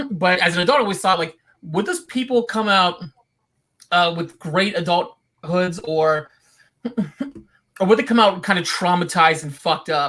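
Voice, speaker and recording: A man with a high pitch speaks at a moderate pace in a bright, sharp tone. His pitch variation is ordinary, and he takes long, frequent pauses. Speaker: animation filmmaker. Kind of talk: panel Q&A.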